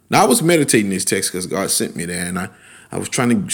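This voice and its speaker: A man speaks in an animated tone with very wide pitch swings. The recording is very clean, with a silent background. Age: 40s. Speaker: podcast host and pastor. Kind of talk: podcast sermon.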